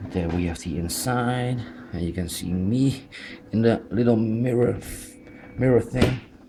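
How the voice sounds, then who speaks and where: Amid noticeable background noise, a man of medium pitch speaks fairly slowly with ordinary pitch variation and long, frequent pauses. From Netherlands. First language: Dutch. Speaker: toy collector reviewer. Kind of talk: unboxing review. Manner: halting, many fillers.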